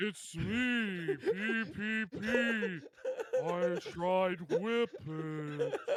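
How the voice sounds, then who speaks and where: Putting on a character voice, a man speaks at a high pitch and a very slow pace over clear background noise. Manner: mocking, silly.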